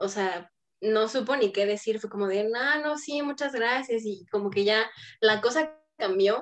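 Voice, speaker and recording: A woman with a plain, everyday voice speaks at a fairly high pitch. Her pace is fairly slow and her pitch variation ordinary. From Toluca, central Mexico. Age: 20s. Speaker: dancer and dance school owner. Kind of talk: round-table discussion.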